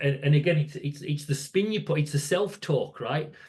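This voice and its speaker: A somewhat breathy man with a northern English accent speaks at a moderate pace, his fairly high pitch showing ordinary variation. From northern England, near Scottish border. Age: 60s. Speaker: safety educator. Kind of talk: podcast interview. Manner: halting, repeats words.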